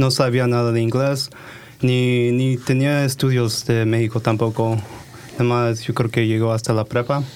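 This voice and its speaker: Noticeable background noise sits behind a man at a medium pitch. He talks at a fairly slow pace with monotone, flat intonation and very even loudness. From Oregon, US (Hillsboro/Forest Grove, Mexican family). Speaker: health startup founder. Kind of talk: interview.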